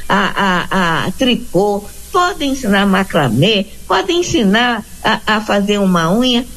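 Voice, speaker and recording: A woman at medium pitch with very wide pitch swings and a very slow pace, amid noticeable background noise. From Rio de Janeiro. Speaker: missionary. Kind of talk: interview.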